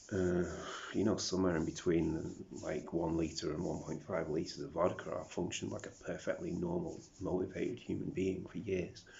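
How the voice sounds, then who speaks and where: Speaking with a British accent at a moderate pace, a man with a very deep, low pitch sounds somewhat breathy, with ordinary pitch variation and audible room echo. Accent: British accent developed over South African. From South Africa. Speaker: vlogger. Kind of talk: video diary monologue. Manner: rambling, self-talking.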